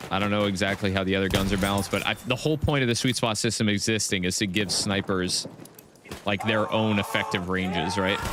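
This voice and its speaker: An animated man at a very fast pace, fairly low in pitch with ordinary pitch variation and very even loudness, over noticeable background noise. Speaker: gaming streamer. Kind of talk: live gameplay stream chat. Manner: casual, animated.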